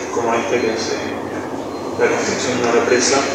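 Amid loud background noise and audible room echo, a man talks at a moderate pace. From Buenos Aires, Argentina. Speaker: film director. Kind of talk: Q&A at a film presentation. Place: hall. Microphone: camera far.

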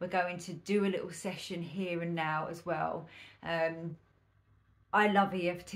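This woman speaks with monotone, flat intonation. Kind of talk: tutorial. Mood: calm, friendly. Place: home room.

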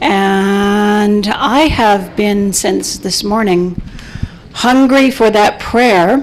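A woman speaks at a very slow pace and medium pitch with ordinary pitch variation. Noticeable background noise runs underneath. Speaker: panelist, community organizer. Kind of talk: guided meditation; panel discussion. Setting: conference panel in a room.

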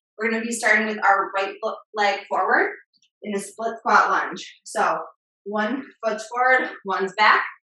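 A woman with a fairly high voice speaks at a fairly slow pace. The background is quiet, though room echo is audible. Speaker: fitness instructor. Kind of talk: live-led fitness class with countdowns and cues. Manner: upbeat, encouraging, motivating; rhythmic, brisk countdown cues. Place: home room.

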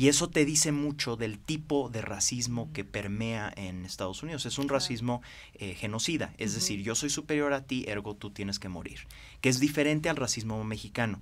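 The speaker is a man with a fairly quick pace. His pitch varies in an ordinary way. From Mexico. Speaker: financier and former congressman; interview guest, former politician. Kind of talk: interview. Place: studio. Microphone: podium.

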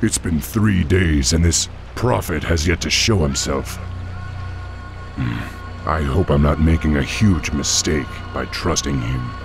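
Over clear music in the background, a man puts on a character voice at an extremely low pitch, with vocal fry. He speaks fairly slowly with ordinary pitch variation.

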